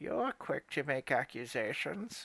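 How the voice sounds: On a very clean recording with a silent background, a man uses a put-on character voice at a fairly slow pace.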